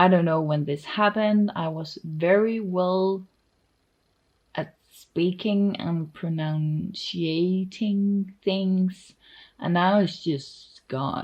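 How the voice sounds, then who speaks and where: A woman with a Danish accent speaks at a very slow pace and medium pitch, sounding somewhat breathy. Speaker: artist and vlogger. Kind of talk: casual vlog talk. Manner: loose, hesitant with fillers.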